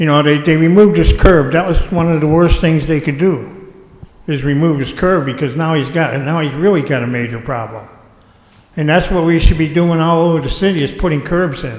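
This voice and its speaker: Noticeable noise runs in the background. Over it, speech goes fairly quickly with ordinary pitch movement. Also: man, fairly high pitch for a man. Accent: American. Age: 60s. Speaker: citizen speaker at public meeting. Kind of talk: public comment at council meeting.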